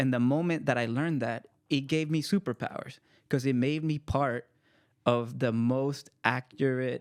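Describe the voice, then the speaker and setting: An ordinary speaking voice from a man with an American accent, medium pitch, fairly even intonation and moderate pace, in a dry, close sound with no echo on a very clean recording with a silent background. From El Salvador, then Marin County, California. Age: 30s. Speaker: author and poet. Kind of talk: casual chat.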